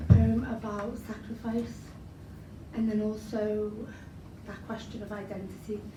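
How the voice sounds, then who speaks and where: Over noticeable background noise, a woman with a Liverpool accent talks at a fairly slow pace, leaving long, frequent pauses. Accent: Liverpool (Scouse). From Liverpool, England. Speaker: spoken word poet. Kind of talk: casual introduction to an audience.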